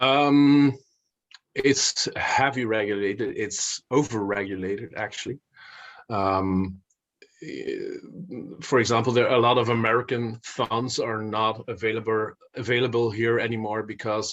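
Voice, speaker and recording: A man with a Flemish accent speaks at a fairly slow pace and medium pitch. His intonation stays fairly even, broken by long, frequent pauses. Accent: Belgian Dutch (Flemish) accent in English. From Belgium (Flanders, Dutch-speaking). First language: Dutch. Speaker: investor and finance author. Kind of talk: podcast interview. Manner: halting, many fillers and repetitions.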